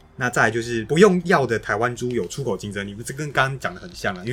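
His pitch sits in the medium range. The man rattles through his words at a very fast pace. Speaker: podcast co-host. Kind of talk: casual policy discussion.

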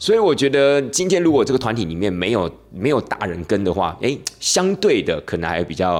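A man speaks at a fairly quick pace. His pitch swings very widely over music in the background. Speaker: tour leader and podcast host. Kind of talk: casual podcast monologue.

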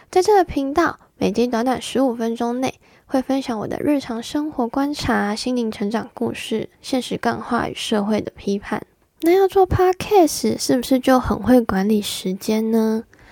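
Dry and close with no echo, a woman's high voice moves at a fairly slow pace with lively intonation and a dark, mellow tone. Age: 20s. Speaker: solo podcaster, office worker. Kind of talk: scripted monologue.

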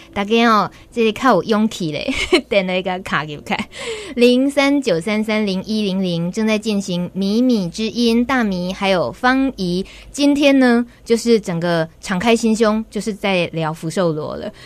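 A woman with a Taiwanese accent, fairly high pitch, ordinary pitch variation and a fairly slow pace, amid noticeable background noise. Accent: Taiwanese Mandarin. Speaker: radio host. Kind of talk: radio interview. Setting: studio. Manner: animated.

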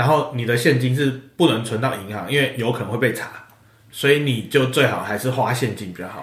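There is audible room echo as a man talks at a fairly quick pace. His medium pitch shows ordinary variation. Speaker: podcast guest. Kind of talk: casual chat.

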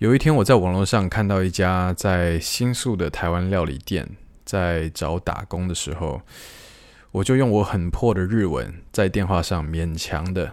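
With lively intonation, a man speaks in a very deep, low pitch on a very clean recording with a silent background. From Taiwan. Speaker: podcast host. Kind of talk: solo podcast storytelling.

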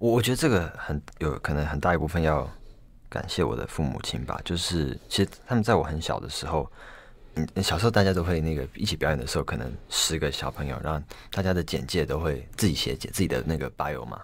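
A man with a very deep, low pitch and vocal fry talks at a fairly quick pace with lively intonation in a very clean recording with a silent background. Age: 20s. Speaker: violinist. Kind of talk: interview. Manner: halting, repeats words.

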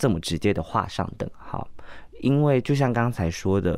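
Over a silent background in a very clean recording, a man with a fairly low pitch talks at a moderate pace with very wide pitch swings. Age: 30s. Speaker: drag queen performer. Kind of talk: interview.

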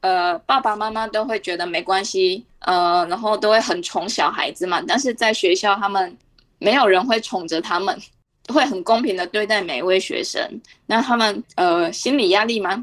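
A woman with a normal speaking voice talks at a moderate pace and medium pitch with ordinary pitch variation, on a very clean recording with a silent background. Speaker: Chinese language teacher. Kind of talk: radio interview.

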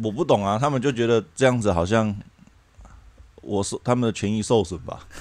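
A man with a fairly low pitch speaks at a fairly quick pace, with ordinary pitch variation. His speech is broken by long, frequent pauses. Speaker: former working holiday worker. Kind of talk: casual chat.

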